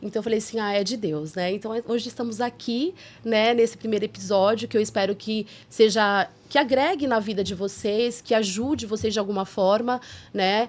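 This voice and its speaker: Using a normal speaking voice, a woman with a fairly high pitch talks at a moderate speed, her pitch varying in an ordinary way. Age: 40s. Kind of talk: casual podcast conversation. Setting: studio.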